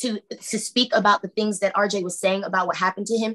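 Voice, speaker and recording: Against a quiet background, a woman talks in a fairly high pitch. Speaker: pro se litigant. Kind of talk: court hearing testimony. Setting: video call. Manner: halting. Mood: tense, hesitant. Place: home room. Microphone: video call.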